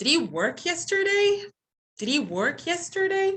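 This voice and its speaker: Squeaky and extremely high-pitched, a woman uses a put-on character voice. Her intonation is lively and her pace moderate. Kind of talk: teacherly, language lesson demonstration. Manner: rising intonation, tone going up as a question.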